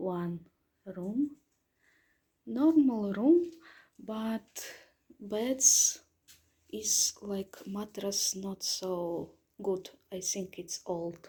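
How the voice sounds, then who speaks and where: Speaking very slowly with long, frequent pauses, a woman with a Russian accent uses a medium pitch and lively intonation, her dark, mellow tone somewhat breathy and her loudness swinging widely. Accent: Russian accent, non-native pronunciation. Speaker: travel vlogger. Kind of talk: hotel room review walkthrough. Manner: halting, hesitant non-native speech.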